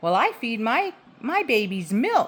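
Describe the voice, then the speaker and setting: Using a put-on character voice, a woman speaks fairly slowly at a fairly high pitch with very wide pitch swings. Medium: read story.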